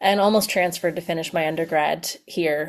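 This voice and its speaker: A woman with an American accent speaks at a very fast pace and a fairly low pitch. Noticeable background noise runs underneath. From US, Pennsylvania. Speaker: education consultant. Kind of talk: webinar presentation. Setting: video call webinar. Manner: casual, filler-heavy.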